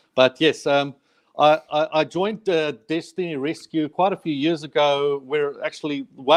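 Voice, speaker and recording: In a South African accent, a man speaks at a fairly high pitch with fairly even intonation, in a dry, close sound with no echo. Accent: South African, permanent. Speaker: charity worker. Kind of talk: interview. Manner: halting, many repetitions.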